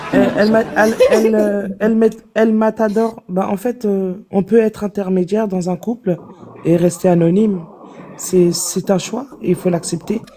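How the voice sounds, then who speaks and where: A woman with fairly even intonation talks at a fairly slow pace, noticeable background noise behind her. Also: medium pitch for a woman. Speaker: live stream participant. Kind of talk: casual chat.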